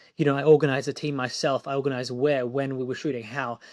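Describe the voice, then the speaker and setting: A man with an Australian accent, fairly high in pitch, at a very fast pace with fairly even intonation, on a very clean recording with a silent background and a dry, close sound with no echo. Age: 20s. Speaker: film director. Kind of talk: interview.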